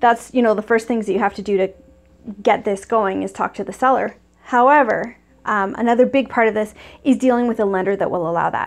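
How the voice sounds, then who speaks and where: A fairly high-pitched woman at a fairly quick pace, with fairly even intonation. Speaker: real estate investor and coach. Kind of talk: tutorial. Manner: fast; casual, many fillers.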